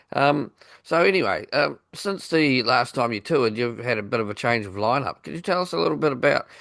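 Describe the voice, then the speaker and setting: Against a quiet background, a man in a New Zealand accent speaks at a fairly quick pace, his medium pitch making very wide swings. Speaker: radio podcast host. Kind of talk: interview.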